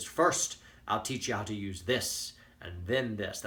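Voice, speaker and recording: A man puts on a character voice with a Scottish accent, speaking at a fairly slow pace. His pitch is fairly low, with ordinary pitch variation. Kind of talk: stern, instructive.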